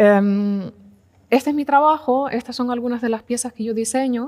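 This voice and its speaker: Fairly high in pitch, a woman speaks with fairly even intonation. Behind her the background is quiet. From Canary Islands (Tenerife); Canary Islands. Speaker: furniture and space designer. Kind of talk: talk at a design event. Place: hall. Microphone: headset.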